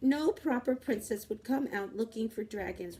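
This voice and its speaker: Putting on a character voice, a woman speaks at a moderate pace and a fairly high pitch. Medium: read story. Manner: irritable, haughty.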